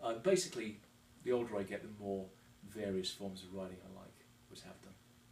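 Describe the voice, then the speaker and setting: Through audible room echo, a man with a fairly low pitch talks at a fairly quick pace. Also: big swings in loudness. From England, Devon. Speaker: motorcyclist and construction worker. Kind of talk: interview. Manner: hesitant, many fillers.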